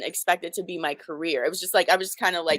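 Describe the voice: The sound is dry and close with no echo. A woman speaks at a fairly quick pace with a fairly bright tone.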